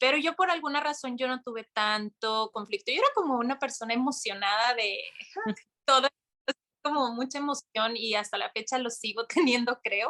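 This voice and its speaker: The voice has a bright, sharp tone, moves at a moderate pace with ordinary pitch variation, and sounds dry and close with no echo. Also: woman, high pitch for a woman. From Mexico. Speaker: yoga instructor and content creator. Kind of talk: interview conversation. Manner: animated.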